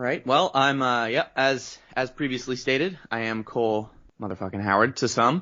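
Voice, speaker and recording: With a Canadian accent, a man talks at a moderate pace with ordinary pitch variation. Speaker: voice actor. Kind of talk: casual interview chat.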